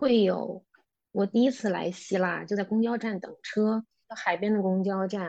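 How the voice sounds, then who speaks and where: A woman speaks in a plain, everyday voice, her intonation fairly even and her pace moderate. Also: quiet background. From China, Beijing. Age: 30s. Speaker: former office worker living abroad. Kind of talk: casual interview.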